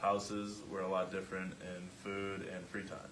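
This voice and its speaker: With audible room echo, a man with an American accent talks at a moderate pace in a fairly low pitch. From US Midwest, Michigan. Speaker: student athlete. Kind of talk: class presentation.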